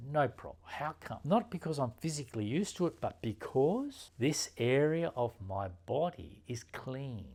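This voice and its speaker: In a very clean recording with a silent background, a man with a fairly high pitch speaks at a moderate pace, his pitch swinging very widely and hardly any pauses in between. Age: 60s. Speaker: meditation teacher and osteopath. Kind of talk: teaching talk.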